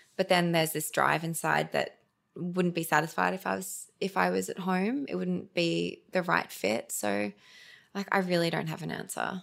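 Here a woman with an Australian accent talks at a moderate pace. The recording is very clean, with a silent background. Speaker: digital communication specialist and beauty founder. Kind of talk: casual interview chat.

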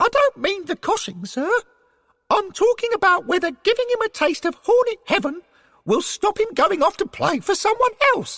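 Extremely high pitch in a put-on character voice. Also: moderate pace. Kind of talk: deferential, addressing someone as sir.

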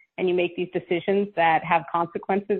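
With a plain, everyday voice, a woman speaks fairly low in pitch at a moderate pace. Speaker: novelist and former intelligence officer. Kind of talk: radio interview.

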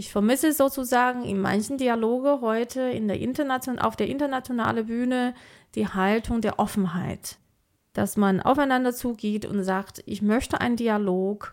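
Against a silent background on a very clean recording, a woman with a Mandarin Chinese accent speaks at a moderate pace in a fairly high voice with ordinary pitch variation. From China, moved to Germany at about 14. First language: Mandarin Chinese (speaking German). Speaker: AI researcher and science manager. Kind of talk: interview conversation.

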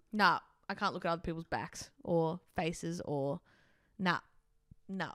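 On a very clean recording with a silent background, a woman with an Australian accent speaks at a moderate pace in a fairly low pitch. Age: 20s. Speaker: podcast co-host. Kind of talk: casual chat.

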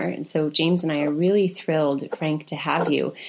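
This woman's voice sits very deep and low. Her intonation stays fairly even. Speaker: podcast co-host. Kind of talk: casual interview conversation.

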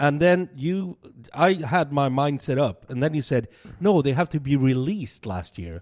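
In a very clean recording with a silent background, a man speaks at a moderate pace. He has a plain, everyday voice, fairly high in pitch, with lively intonation. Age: 50s. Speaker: podcast co-host, bar worker and beer enthusiast. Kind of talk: casual chat. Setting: studio.

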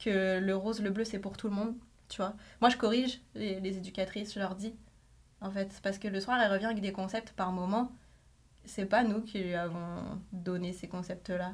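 A woman's somewhat breathy, medium-pitched voice at a moderate pace with fairly even intonation. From France. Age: 30s. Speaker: journalist. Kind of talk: casual chat.

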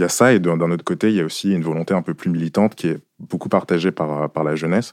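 A man's very deep, low voice at a very fast pace, with fairly even intonation and a dry, close sound free of echo. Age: 20s. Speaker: young student panelist. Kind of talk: discussion.

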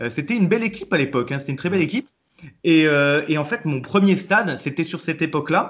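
Lively intonation marks this man's fairly high voice. He talks at a very fast pace. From Nice, southern France. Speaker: football fan commentator. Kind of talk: casual chat.

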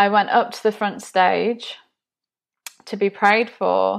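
A woman at medium pitch and a fairly slow pace. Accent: English. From England, Nottinghamshire. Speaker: podcast host, business community founder. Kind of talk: personal testimony. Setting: home video recording.

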